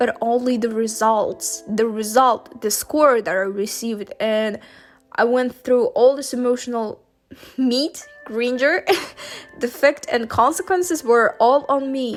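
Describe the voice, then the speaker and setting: Music plays behind a woman speaking fairly slowly with a non-native accent. Her pitch is high and varies in an ordinary way. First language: not English. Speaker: university student. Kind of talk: casual talk to camera.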